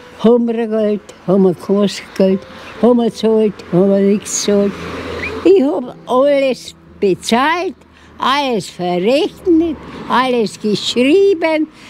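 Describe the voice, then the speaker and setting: At a very slow pace broken by long, frequent pauses, a woman speaks at a fairly high pitch with very wide pitch swings over noticeable background noise. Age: 80s+. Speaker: centenarian interviewee. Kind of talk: interview. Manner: halting.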